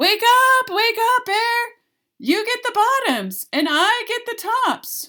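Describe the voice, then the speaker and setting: Putting on a character voice, a woman projects a raised, squeaky voice at an extremely high pitch and a fairly slow pace. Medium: read story. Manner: eager, persuasive.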